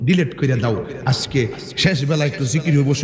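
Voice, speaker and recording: Noticeable background noise fills the recording. Over it, a man talks with lively intonation. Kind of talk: sermon delivery. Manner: shouting.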